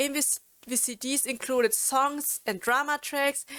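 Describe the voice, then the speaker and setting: Here a woman speaks with a German accent. Her pace is very slow. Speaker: YouTuber and streamer. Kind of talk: informational video talk. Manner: halting, many fillers and restarts.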